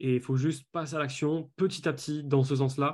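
This man has an ordinary speaking voice with fairly high pitch. His intonation is fairly even. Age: 20s. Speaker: business coach. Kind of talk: interview.

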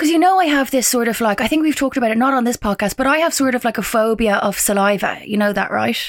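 A woman's high-pitched voice with an English accent, very fast and lively in intonation, at very even loudness with hardly any pauses. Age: 30s. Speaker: podcast co-host. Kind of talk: casual chat. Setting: video call.

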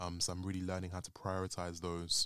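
Someone talks at a moderate pace with a London accent. The sound is dry and close, with no echo. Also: man, very clean recording, silent background. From North London, Islington. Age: 20s. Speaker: podcast guest. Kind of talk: casual chat.

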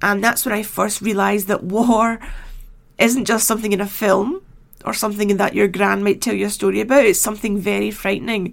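On a very clean recording with a silent background, a woman at medium pitch speaks at a fairly quick pace with vocal fry and fairly even intonation. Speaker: history podcaster and author. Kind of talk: solo narration.

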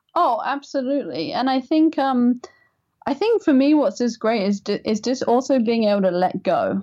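High-pitched woman in an English accent, dark and mellow in tone, with lively intonation, very even loudness and a moderate pace. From England. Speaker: writer, designer and caregiver. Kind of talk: interview.

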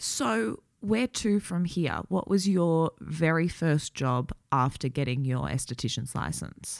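Speaking at a very slow pace with hardly any pauses, a woman uses a very deep, low pitch, lively intonation and vocal fry. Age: 20s. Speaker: podcast host, beauty writer. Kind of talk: interview.

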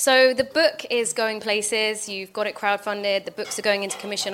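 This is a woman with an ordinary speaking voice and a medium pitch. She talks at a fairly quick pace with fairly even intonation. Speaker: podcast host. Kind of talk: live interview on stage. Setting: stage with audience.

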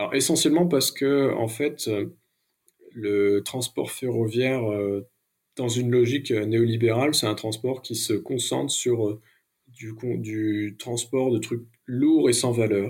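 The recording is very clean, with a silent background. The speech moves at a very slow pace with fairly even intonation and long, frequent pauses. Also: man, medium pitch for a man. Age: 30s. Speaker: ecological transition consultant and rail cooperative board member. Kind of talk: interview. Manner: hesitant, many fillers.

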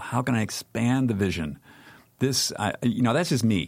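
On a very clean recording with a silent background, a man with an unremarkable speaking voice talks at a moderate pace and medium pitch, with ordinary pitch variation. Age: 60s. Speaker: media founder and publisher. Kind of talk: interview conversation. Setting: studio.

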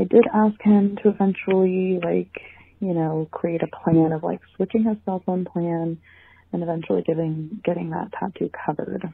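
This woman has an ordinary speaking voice at a fairly low pitch. She keeps a moderate pace and fairly even intonation. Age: 20s. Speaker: listener leaving voicemail. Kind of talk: voicemail question. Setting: phone voicemail.

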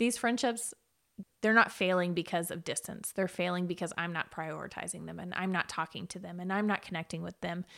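A woman with an unremarkable speaking voice talks at a fairly quick pace and a fairly low pitch, with big swings in loudness. The recording is very clean, with a silent background. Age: 30s. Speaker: podcast co-host. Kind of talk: casual chat.

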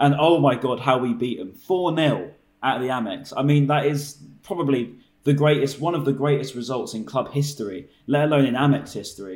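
A man speaks in a normal speaking voice with a fairly high pitch. His pace is moderate and his pitch variation ordinary. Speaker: podcast host. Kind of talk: casual chat.

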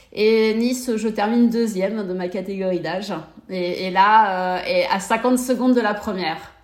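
A woman's words echo audibly around the room. Her pace is fairly slow. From Brittany, France (Morbihan). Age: 40s. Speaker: amateur triathlete, mother of four. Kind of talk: interview conversation. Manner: hesitant, many repetitions.

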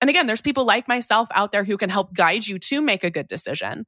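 On a very clean recording with a silent background, a woman speaks in an animated, bright, sharp tone. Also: dry, close sound with no echo. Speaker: personal finance expert and author. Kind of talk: interview conversation.

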